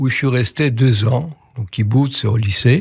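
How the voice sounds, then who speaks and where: A man's voice, somewhat breathy, is captured on a very clean recording with a silent background. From Poland (Lodz). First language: Yiddish (speaking French). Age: 80s+. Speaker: Yiddish conversation workshop leader. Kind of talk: interview.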